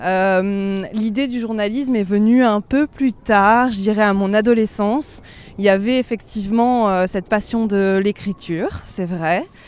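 Fairly slow and fairly even in intonation, a woman speaks. Her pitch sits in the medium range. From Provence, southern France. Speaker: journalist. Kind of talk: interview, casual chat. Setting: outdoors, walking in a park.

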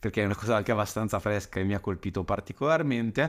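Speaking at a very fast pace with lively intonation, a man comes through in a very clean recording with a silent background. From Lombardy, northern Italy (Saronno). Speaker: podcast marketing coach. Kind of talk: monologue podcast. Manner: casual, frequent hesitations and repetitions.

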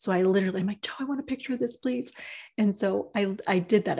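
A somewhat breathy woman at a very fast pace, medium pitch and ordinary pitch variation, over a quiet background. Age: 50s. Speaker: podcast co-host, writer and energy healer. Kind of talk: casual conversation.

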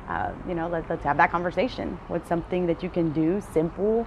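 The woman has an ordinary speaking voice, fairly low in pitch. She talks at a fairly quick pace with fairly even intonation. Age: 30s. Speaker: podcast host. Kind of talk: solo reflective monologue. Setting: outdoors on front porch.

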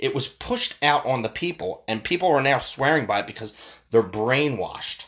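Against a quiet background, a man with a fairly high pitch and vocal fry swings his pitch very widely. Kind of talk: angry rant.

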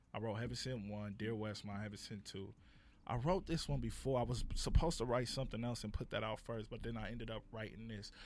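A man with an American accent, medium in pitch and showing vocal fry, talking very fast with ordinary pitch variation. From Compton, Los Angeles. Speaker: playwright and producer. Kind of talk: casual podcast interview.

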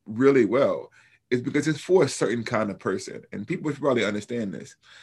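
Music plays in the background as a man with an American accent talks at a fairly quick pace. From US South, Alabama. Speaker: New Testament professor and author. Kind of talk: interview.

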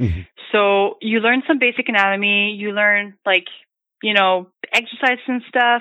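A woman with a Franco-Ontarian accent, medium in pitch with ordinary pitch variation, at a moderate pace. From northern Ontario, Canada. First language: French. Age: 20s. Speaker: massage therapist. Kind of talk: casual chat. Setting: phone call.

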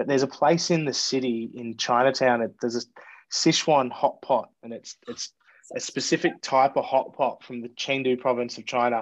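Against a quiet background, a man with an Australian accent speaks at a moderate pace and medium pitch, with fairly even intonation but big swings in loudness. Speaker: bartender. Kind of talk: casual chat. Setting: video call.

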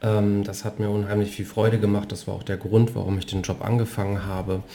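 Somewhat breathy man with a dark, mellow tone. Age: 40s. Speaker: podcast host and former bank sales director. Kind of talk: casual interview conversation. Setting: living room at home.

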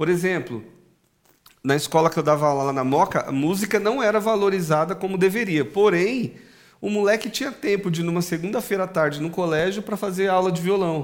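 A man's high voice moves at a fairly quick clip, its pitch varying in an ordinary way. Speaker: podcast host; music teacher. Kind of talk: casual chat.

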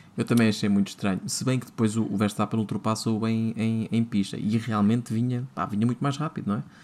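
A man with a plain, everyday voice talks at a fairly quick pace and medium pitch, with fairly even intonation and hardly any pauses. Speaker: podcast host. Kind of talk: casual chat.

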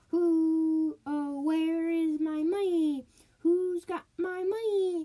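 A woman speaks in a put-on character voice at an extremely high pitch. Her pace is very slow. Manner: wailing, ghostly cry.

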